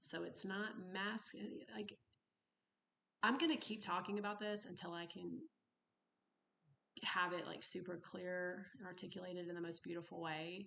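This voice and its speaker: Soft-spoken, a woman talks with a bright, sharp tone and ordinary pitch variation, pausing long and often. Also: medium pitch for a woman, moderate pace. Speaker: recovery vlogger. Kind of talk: personal vlog monologue. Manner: rambling, tangential.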